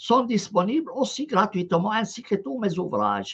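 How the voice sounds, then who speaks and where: Here a man speaks with an Arabic accent. His pitch swings very widely. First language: Arabic (speaking French). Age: 70s. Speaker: professor and channel host, Quran scholar. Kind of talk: live online discussion, translating into Arabic. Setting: live stream / online call. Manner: hesitant, many filler sounds.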